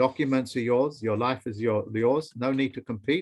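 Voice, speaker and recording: A man with an English accent speaks at a fairly slow pace and medium pitch. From England. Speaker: teacher. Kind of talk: online training session. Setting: video call.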